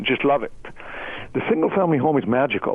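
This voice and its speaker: A man talks with a slight non-native accent. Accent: foreign accent, slight. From outside the US. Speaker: real estate investment executive. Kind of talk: radio interview.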